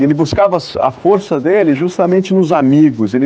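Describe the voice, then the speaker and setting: Moderate pace and ordinary pitch variation in a man's dark, mellow tone. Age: 20s. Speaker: voice actor. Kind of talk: interview. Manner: halting.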